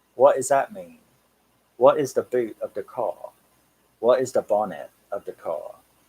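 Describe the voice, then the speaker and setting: A man speaks at a moderate pace in a strong Cockney accent, his loudness swinging widely. Long, frequent pauses break up his speech, and the sound is dry and close with no echo. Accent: Cockney, says it's strong. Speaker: horror and metal channel host. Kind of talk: casual live stream chat. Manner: relaxed.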